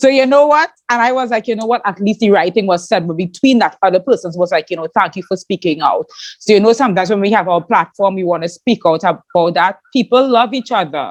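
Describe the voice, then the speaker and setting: A woman with a Trinidadian accent talks at a very fast pace with hardly any pauses. Her medium-pitched voice sounds dry and close, with no echo. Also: lively intonation. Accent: Trinidadian accent, shown proudly. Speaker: podcast host and YouTuber. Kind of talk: interview chat. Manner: animated.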